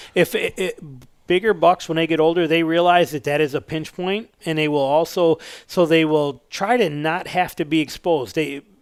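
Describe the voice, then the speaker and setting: On a very clean recording with a silent background, a man with an American accent speaks in a plain, everyday voice at a moderate pace, with a fairly high pitch and fairly even intonation. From Northern Michigan. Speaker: bow hunter. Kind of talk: casual interview chat.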